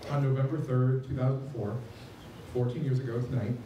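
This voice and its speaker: A man with an American accent speaks at a fairly slow pace in a medium pitch. There is audible room echo and light background noise. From rural Nebraska. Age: 20s. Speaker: high school English teacher. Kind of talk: speech at a vigil. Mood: solemn, earnest. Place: street.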